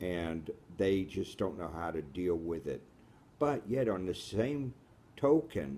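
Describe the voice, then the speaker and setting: Very deep and low, a man's voice swings very widely in pitch at a very slow pace, his tone dark and mellow. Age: 60s. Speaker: radio host, blind from birth. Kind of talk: interview.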